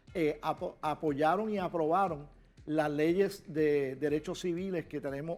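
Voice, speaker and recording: A man speaks at a fairly slow pace. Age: 60s. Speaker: political commentator. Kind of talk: interview.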